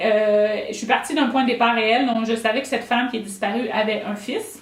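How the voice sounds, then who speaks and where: A high-pitched woman's voice with a Quebec accent and audible room echo. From Quebec, rural south. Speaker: novelist. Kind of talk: author talk. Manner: halting, many fillers.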